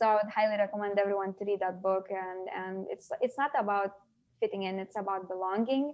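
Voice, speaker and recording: The speaker has a Lithuanian accent. The pace is moderate and the intonation fairly even. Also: woman. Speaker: interview guest. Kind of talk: casual interview conversation. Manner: halting, many fillers.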